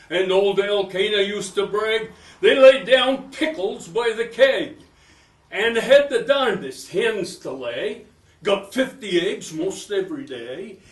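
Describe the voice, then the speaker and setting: A man with a high pitch talks at a very slow pace. Noticeable background noise is present. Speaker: former TV host and singer. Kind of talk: poetry reading. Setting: live talk to an audience.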